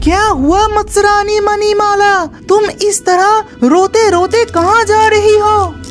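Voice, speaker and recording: A cartoonish character voice at an extremely high pitch talks at a fairly slow pace over clear background music. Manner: earnest, caring.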